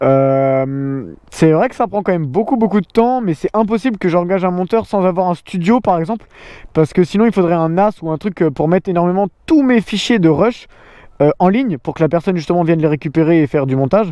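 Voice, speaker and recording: Lively intonation at a fairly quick pace. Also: man, high pitch for a man. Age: 20s. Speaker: motorcycle vlogger. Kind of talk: casual Q&A chat. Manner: hesitant, many fillers.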